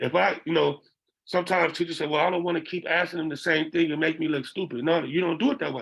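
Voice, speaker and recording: A man with vocal fry at a very fast pace, his pitch variation ordinary. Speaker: behavioral interventionist. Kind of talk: lecture. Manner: conversational, frequent 'okay?' check-ins.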